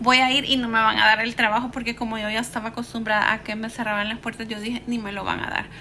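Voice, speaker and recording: A woman with a Salvadoran accent talks at a fairly high pitch in a flat monotone, with noticeable background noise. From El Salvador, San Salvador. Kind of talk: personal life story told to camera.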